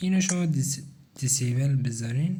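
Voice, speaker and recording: Audible room echo follows a man who speaks at a fairly quick pace and a fairly high pitch. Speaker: gaming tutorial creator. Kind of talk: tutorial. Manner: casual, conversational.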